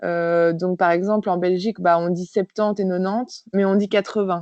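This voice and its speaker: Medium-pitched female speech at a moderate pace with fairly even intonation. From France. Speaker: physiotherapist. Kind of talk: interview. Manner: hesitant, many fillers.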